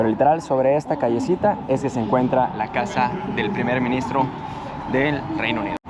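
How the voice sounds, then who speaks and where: Noticeable background noise sits behind a man speaking at a fairly quick pace. His pitch is medium. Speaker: travel vlogger. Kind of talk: travel vlog narration. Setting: outdoors, walking through city. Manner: casual, conversational.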